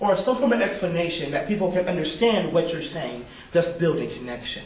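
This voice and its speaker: Amid noticeable background noise and audible room echo, a man speaks loudly and fairly quickly in a high voice with lively intonation. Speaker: public speaking teacher. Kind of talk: lecture. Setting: classroom. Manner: bombastic.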